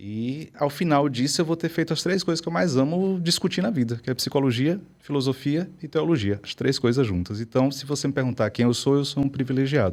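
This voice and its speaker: A man's fairly high-pitched voice in a strong Bahian accent, fairly quick with hardly any pauses and lively intonation, on a very clean recording with a silent background. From Brazil, Bahia. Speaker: psychologist and professor. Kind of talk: interview.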